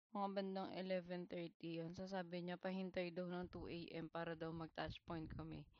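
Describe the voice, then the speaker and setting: A woman talks at a moderate pace with hardly any pauses, her fairly low pitch held in a monotone, flat intonation. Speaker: vlogger sharing job-hunt experiences. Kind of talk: personal storytelling monologue. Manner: casual, conversational Taglish with some hesitations.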